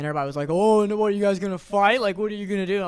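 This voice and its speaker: A man speaks loudly, with ordinary pitch variation. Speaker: podcast co-host and restaurant server. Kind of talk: casual chat.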